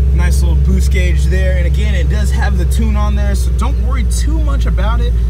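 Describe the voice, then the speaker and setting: The speech moves at a moderate pace in a dry sound with no echo, set against loud background noise. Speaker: car salesman. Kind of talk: sales walkaround commentary. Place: shop.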